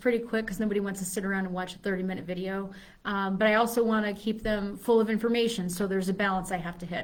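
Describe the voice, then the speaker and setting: A woman speaks very fast with fairly even intonation. Room echo can be heard. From Chicago. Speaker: fitness coach. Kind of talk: live video talk. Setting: live stream video.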